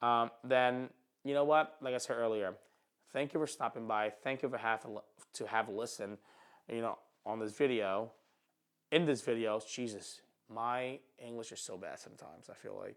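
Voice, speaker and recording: Fairly even intonation in a Philadelphia accent, at a moderate pace with long, frequent pauses and big swings in loudness. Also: man, medium pitch for a man. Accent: Philadelphia American English. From Philadelphia, North Philly. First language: not English, immigrated at five. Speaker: photographer and YouTuber. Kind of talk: casual vlog monologue. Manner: halting, stutters and repeats.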